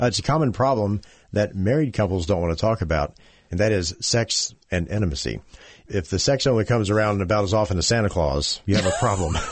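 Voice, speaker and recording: Talking at a very fast pace, a man with a fairly low pitch keeps a very even loudness and lively intonation. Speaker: radio co-host. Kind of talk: radio talk show.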